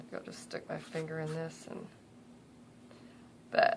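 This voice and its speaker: Whispered, mumbled speech over noticeable background noise. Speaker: crafter. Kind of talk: tutorial. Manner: mumbling; casual, halting.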